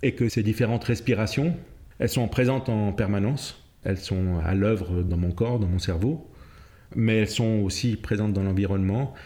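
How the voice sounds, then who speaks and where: Dark and mellow in tone, a man's fairly low voice holds a very even loudness, with ordinary pitch variation and a moderate pace. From Cape Verde and Senegal, then Switzerland. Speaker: jazz pianist and music theorist. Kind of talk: interview explanation.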